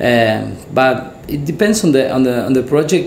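Room echo is audible around a man speaking, along with noticeable background noise. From Argentina. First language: Spanish. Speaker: commercial director. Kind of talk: casual interview. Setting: studio.

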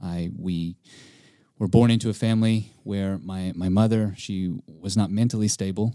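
With an American accent, a man speaks at a moderate pace in a dark, mellow tone, fairly low in pitch, with fairly even intonation, on a very clean recording with a silent background. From East Texas. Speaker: camp staff member. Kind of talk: personal testimony interview.

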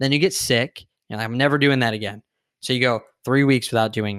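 A man speaks at a very fast pace with an American accent. The recording is very clean, with a silent background. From San Diego, California, US. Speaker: fitness coach and entrepreneur. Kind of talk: casual interview.

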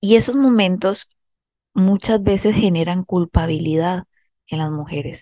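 In a Costa Rican accent, a woman with a dark, mellow tone at medium pitch speaks fairly slowly with ordinary pitch variation and big swings in loudness, in a dry, close sound with no echo. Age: 30s. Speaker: psychologist and podcast host. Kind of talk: self-help monologue.

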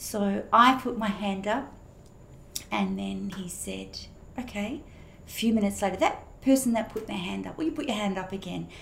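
A woman with an Australian accent at a moderate pace, with long, frequent pauses, audible room echo and noticeable background noise. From Australia, Perth. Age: 60s. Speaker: pastor. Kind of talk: testimony.

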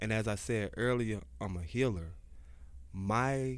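Against audible room echo, a man talks at a fairly slow pace in a fairly low pitch with lively intonation. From Georgia, US South. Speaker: CEO, author and life coach. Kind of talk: interview conversation. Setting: studio.

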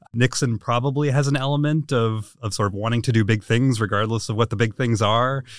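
A man with an ordinary speaking voice talks at a fairly quick pace with hardly any pauses, medium pitch and fairly even intonation, in a very clean recording with a silent background. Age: 40s. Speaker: policy researcher. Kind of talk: interview.

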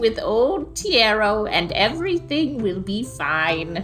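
A female-sounding voice in a put-on character voice, fairly high in pitch, goes at a fairly slow pace over clear music in the background. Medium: actual play. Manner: eager, insistent.

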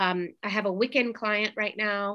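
A woman's bright, sharp voice at a medium pitch, in an American accent, against a quiet background. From US Midwest, St. Louis, Missouri. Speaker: law lecturer and attorney. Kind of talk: interview.

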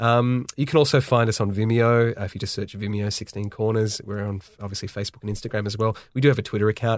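A man with an Australian accent talks at a very fast pace with hardly any pauses, his fairly low voice keeping a fairly even intonation on a very clean recording with a silent background. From Australia, Sydney. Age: 30s. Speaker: video director and production company owner. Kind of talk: podcast interview.

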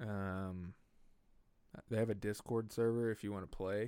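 With an Oklahoma accent, a man speaks at a fairly slow pace and a fairly low pitch. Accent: Oklahoman Southern US. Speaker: podcast host. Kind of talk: casual chat, comedic rambling. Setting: home studio. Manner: casual, joking, profane.

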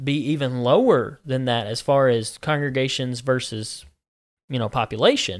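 In a very clean recording with a silent background, a man with a Southern US accent speaks at a moderate pace and medium pitch. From US Deep South (Georgia, Alabama). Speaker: minister. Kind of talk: casual religious discussion.

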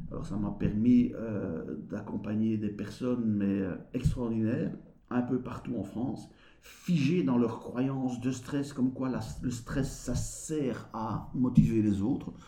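A very slow, medium-pitched male voice with vocal fry, a dark, mellow tone and ordinary pitch variation. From Belgium. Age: 50s. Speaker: behavior analyst and business coach. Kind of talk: interview.

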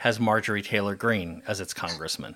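A man is speaking. He has a Californian accent. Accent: Californian American. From Southern California. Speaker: podcast host. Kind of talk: interview.

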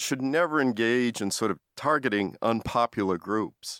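A man with an American accent talks at a moderate pace in a normal speaking voice of medium pitch, with ordinary pitch variation. The sound is dry and close with no echo, a very clean recording over a silent background. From US Northeast (Massachusetts). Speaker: professor. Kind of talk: interview.

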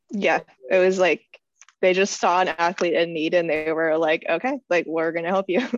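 A woman with an ordinary speaking voice, fairly low pitch, ordinary pitch variation and a moderate pace. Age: 20s. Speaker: weightlifter and biomedical engineer. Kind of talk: interview.

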